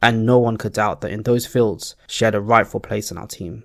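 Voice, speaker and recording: A man talks at a fairly quick pace in a normal speaking voice, fairly low in pitch with fairly even intonation. The recording is very clean, with a silent background. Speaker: storyteller / channel host. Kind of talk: fantasy story narration. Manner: calm, relaxing.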